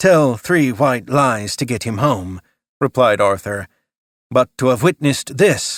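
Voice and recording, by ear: Against a quiet background, the passage is read aloud in a natural voice.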